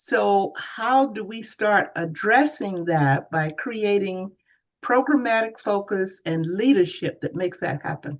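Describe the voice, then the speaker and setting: Speaking at a very slow pace, a woman uses a medium pitch with very wide pitch swings. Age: 80s+. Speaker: program organizer. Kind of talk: Q&A discussion.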